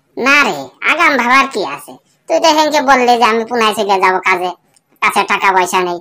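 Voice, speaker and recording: A female-sounding, cartoonish character voice at a fairly high pitch. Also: moderate pace. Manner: casual, slangy.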